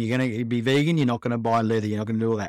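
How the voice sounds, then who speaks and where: The recording is very clean, with a silent background. A man with an Australian accent speaks at a medium pitch. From Australia, Melbourne. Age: 40s. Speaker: podcast host sharing his cancer story. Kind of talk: personal testimony monologue. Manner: casual, conversational.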